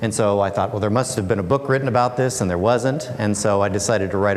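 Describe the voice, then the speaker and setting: A man's voice rises and falls with ordinary pitch variation. Noticeable background noise runs underneath. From Alaska, USA. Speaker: author and speaker. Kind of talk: public talk.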